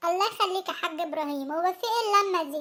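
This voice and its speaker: A cartoonish character voice from a woman, extremely high in pitch, at a fairly quick pace with ordinary pitch variation. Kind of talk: comic cartoon acting.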